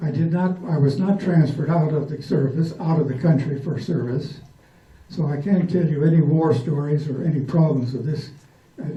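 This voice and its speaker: Amid audible room echo, a man with a fairly high voice talks at a moderate pace with fairly even intonation. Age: 80s+. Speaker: World War II veteran. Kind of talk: speech. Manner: halting.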